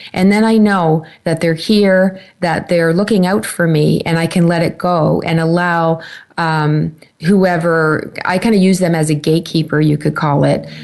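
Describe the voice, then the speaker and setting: With very even loudness, a woman speaks in a fairly low pitch using fairly even intonation. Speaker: psychic medium. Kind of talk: talk radio show. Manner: casual, hesitant.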